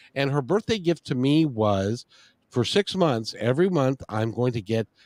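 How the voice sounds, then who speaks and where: Recorded very cleanly against a silent background, with a dry, close sound and no echo, a man with a plain, everyday voice talks at a moderate pace with lively intonation. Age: 60s. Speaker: interview show host. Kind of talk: casual interview chat.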